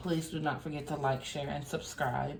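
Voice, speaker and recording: Audible room echo surrounds this woman's voice. She speaks at a very deep, low pitch and sounds somewhat breathy. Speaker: tarot reader. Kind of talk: tarot reading monologue.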